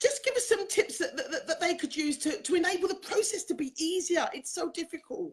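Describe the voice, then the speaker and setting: Speaking in an English accent, a woman uses an extremely high pitch with lively intonation. She talks at a fairly quick pace with hardly any pauses. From England. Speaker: talk show host, confidence coach. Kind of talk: interview. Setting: live online show.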